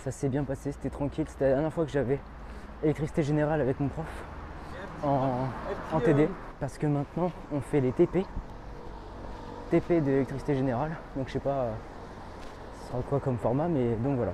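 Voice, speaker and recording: Over noticeable background noise, a man with a fairly high pitch talks at a fairly quick pace with fairly even intonation and long, frequent pauses. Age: young. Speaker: student vlogger. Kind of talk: casual vlog. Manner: fast.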